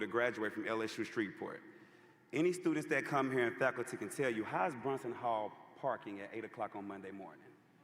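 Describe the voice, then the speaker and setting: A man's medium-pitched voice at a very fast pace. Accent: Louisiana. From Louisiana (Homer). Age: 30s. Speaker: commencement speaker. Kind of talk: commencement speech. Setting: arena stage with audience. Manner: casual, conversational.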